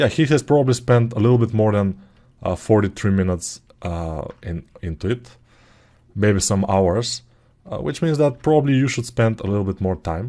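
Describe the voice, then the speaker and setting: Against a quiet background, a man with a non-native accent speaks at a fairly low pitch with a dark, mellow tone and lively intonation. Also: moderate pace. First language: not English. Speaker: sculpting tutor. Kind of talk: tutorial. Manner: casual, hesitant with fillers.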